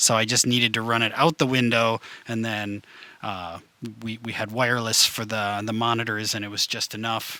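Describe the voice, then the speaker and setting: A man with a Wisconsin accent speaks at a moderate pace in a medium pitch, his bright, sharp tone delivered in a monotone, flat intonation. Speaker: band member. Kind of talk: casual chat. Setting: livestream Q&A in his basement.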